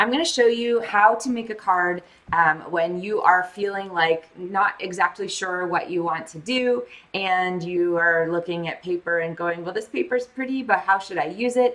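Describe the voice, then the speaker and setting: A woman at a medium pitch talks at a moderate pace, her pitch varying in an ordinary way, with noticeable noise in the background. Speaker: crafting tutorial host. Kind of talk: live craft tutorial. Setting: home craft studio, livestream.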